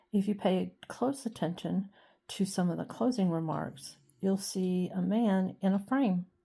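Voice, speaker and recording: A woman with an American accent speaks at a fairly slow pace and a medium pitch, her tone dark and mellow. Her voice is somewhat breathy, and the recording is very clean with a silent background. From South Carolina Lowcountry, Colleton County. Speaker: historian and dog channel creator. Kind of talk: personal vlog narration.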